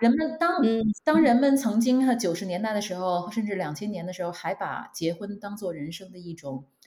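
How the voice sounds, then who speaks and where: A woman's medium-pitched voice at a fairly quick pace, with very wide swings in pitch. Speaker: marketing manager. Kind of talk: casual interview. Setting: online call. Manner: hesitant with fillers.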